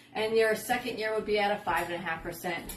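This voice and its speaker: A woman's fairly high voice, with ordinary pitch variation, comes through noticeable background noise and audible room echo. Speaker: real estate agent. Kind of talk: casual explainer video.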